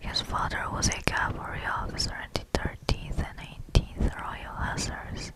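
This is a breathy whisper. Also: woman. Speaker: ASMR creator. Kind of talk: ASMR Wikipedia reading. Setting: close-up condenser microphone recording. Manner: whispered, soft, breathy. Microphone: studio mic.

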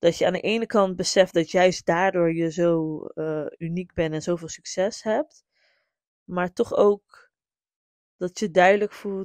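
A woman with a fairly low voice speaks in an animated tone, the sound dry and close with no echo. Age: 30s. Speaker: podcast host and music business legal advisor. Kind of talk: solo podcast monologue. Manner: frequent code-switching to English.

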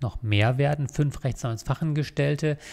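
A man talks at a moderate pace with ordinary pitch variation and a somewhat breathy quality. The background is quiet. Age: 40s. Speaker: lawyer and law firm owner; lawyer. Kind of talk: scripted monologue to camera (recruiting video). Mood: calm, earnest. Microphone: studio mic.

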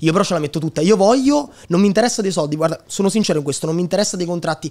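Speaking very fast with a high pitch and lively intonation, a man is heard over a quiet background. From Italy, Lazio (Sora, Frosinone); Lazio. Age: 20s. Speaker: digital entrepreneur and content creator; content creator. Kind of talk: casual interview chat. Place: studio. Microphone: studio mic.

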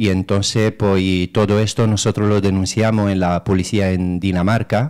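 A man talks at a moderate pace in a fairly low voice with fairly even intonation over a quiet background. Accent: Romanian. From Romania. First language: Romanian (speaking Spanish). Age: 30s. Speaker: political candidate and activist; candidate. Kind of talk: radio interview. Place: studio.

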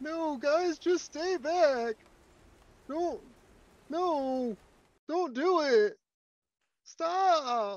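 A put-on character voice with a high pitch speaks at a very slow pace. Long, frequent pauses break up the delivery. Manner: laid-back, pleading.

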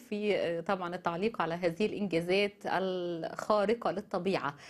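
In an Egyptian accent, a woman speaks at a moderate pace with ordinary pitch variation. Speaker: news show host. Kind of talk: news commentary. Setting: studio. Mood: indignant, critical. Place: studio. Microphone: lapel.

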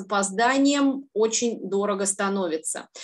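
A plain, everyday voice at a fairly slow pace. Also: woman. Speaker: tax consultant and auditor; presenter. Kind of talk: webinar presentation. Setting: video call. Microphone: webcam.

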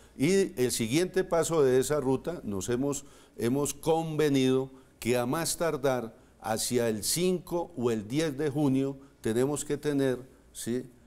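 This man has a fairly high pitch, a dark, mellow tone, ordinary pitch variation and a very slow pace. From Colombia, Boyacá (Moniquirá); Boyacá, Colombia. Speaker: politician, mayoral candidate; politician, candidate. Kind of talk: TV interview. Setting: studio. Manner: halting, repeats words. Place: studio. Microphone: lapel.

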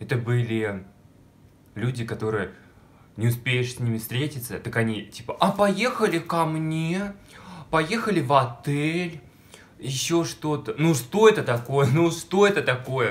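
A man speaks at a fairly slow pace with long, frequent pauses and a somewhat breathy, fairly high voice. His tone is animated, with very wide pitch swings. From Russia, small village. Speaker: video blogger. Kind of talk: personal storytelling vlog. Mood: playful, dramatic storytelling. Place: home room. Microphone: phone near.

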